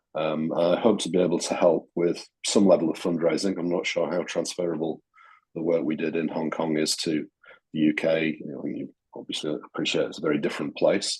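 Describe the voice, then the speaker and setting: Fairly quick and monotone, a man with a Yorkshire accent speaks in a very deep, low voice with flat intonation. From Yorkshire, England. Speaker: newly elected charity trustee, bereaved parent. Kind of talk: self-introduction at online meeting. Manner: hesitant, many fillers.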